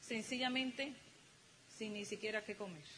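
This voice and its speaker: This woman's fairly high voice, with ordinary pitch variation, comes through noticeable background noise. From Dominican Republic. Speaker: motivational speaker, business couple. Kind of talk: motivational talk to audience.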